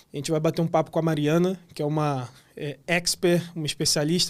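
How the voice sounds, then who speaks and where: Here is a man with a normal speaking voice and a fairly high pitch. He keeps a moderate pace with fairly even intonation. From Rio de Janeiro, Brazil. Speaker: podcast host. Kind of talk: podcast interview. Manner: casual, friendly.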